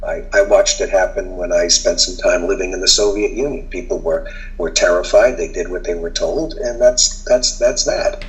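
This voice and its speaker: A man speaks in an American accent at a moderate pace, with noticeable noise in the background. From Boston. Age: 60s. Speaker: journalist. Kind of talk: casual chat.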